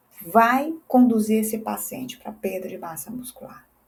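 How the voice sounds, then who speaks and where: A woman's voice comes through somewhat breathy. She speaks at a fairly slow pace. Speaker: physiotherapist and teacher. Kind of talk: educational lecture.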